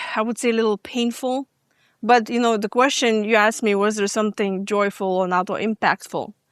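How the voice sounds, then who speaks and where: A woman with a fairly high pitch talks at a moderate pace with ordinary pitch variation, in a dry, close sound with no echo on a very clean recording over a silent background. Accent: slight Lithuanian. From Lithuania. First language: Lithuanian. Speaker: stress management coach. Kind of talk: podcast interview. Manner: hesitant, many fillers.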